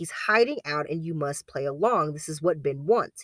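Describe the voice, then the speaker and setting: The tone is theatrical, at a fairly quick pace. The recording is very clean, with a silent background. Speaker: true crime podcast host. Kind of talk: dramatic narration of a true-crime story. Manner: measured, storyteller pacing with theatrical voices for quoted characters.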